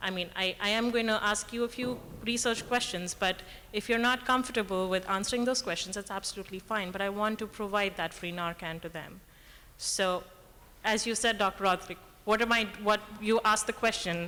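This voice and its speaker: At a fairly quick pace, a woman speaks with a bright, sharp tone and a medium pitch. Her intonation is fairly even. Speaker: audience member, emergency room worker. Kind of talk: audience question at panel Q&A. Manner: shaky voice; quiet, asked to speak up.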